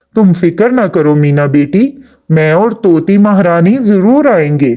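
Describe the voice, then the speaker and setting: This is a cartoonish character voice at a middle pitch. It moves at a fairly slow pace. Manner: gentle, fatherly.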